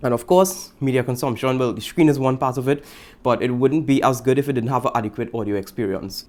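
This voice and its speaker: A man's medium-pitched, animated voice in a Trinidadian accent, very fast, with ordinary pitch variation. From Trinidad and Tobago. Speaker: tech vlogger. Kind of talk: product review vlog. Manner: casual, animated. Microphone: studio condenser mic.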